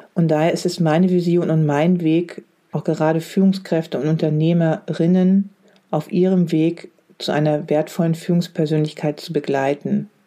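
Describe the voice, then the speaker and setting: Speaking at a moderate pace, a woman has a fairly low voice with a dark, mellow tone and monotone, flat intonation. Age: 40s. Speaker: leadership coach. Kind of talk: solo podcast monologue.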